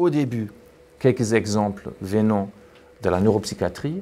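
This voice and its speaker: Speaking with a non-native accent, a man uses a fairly low pitch and lively intonation. His pace is fairly slow. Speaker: neuroscientist and physician, seminar speaker. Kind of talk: academic talk. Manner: hesitant, many repetitions and fillers.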